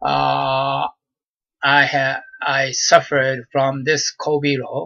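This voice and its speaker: A man speaks with a Japanese accent. He goes at a very slow pace. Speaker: vlogger. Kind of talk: personal monologue. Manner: halting, many fillers.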